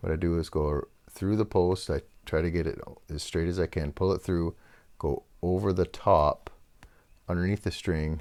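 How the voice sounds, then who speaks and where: Relaxed in tone, a man talks at a moderate pace in a very deep, low voice with vocal fry and ordinary pitch variation, on a very clean recording with a silent background. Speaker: guitar repair youtuber. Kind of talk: tutorial. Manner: casual, relaxed.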